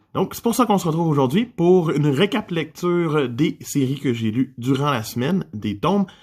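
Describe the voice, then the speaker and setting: Speaking in a Quebec accent, a man uses lively intonation at a moderate pace in a very clean recording with a silent background. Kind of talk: casual manga review talk to camera.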